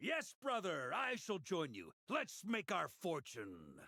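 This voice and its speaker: Using a put-on character voice, a man speaks fairly slowly at a high pitch for a man. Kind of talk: theatrical. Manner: swashbuckling, grandiose.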